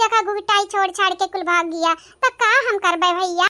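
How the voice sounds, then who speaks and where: A woman uses a cartoonish character voice at an extremely high pitch. She speaks at a moderate pace in a dry, close sound with no echo. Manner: plaintive, chatty.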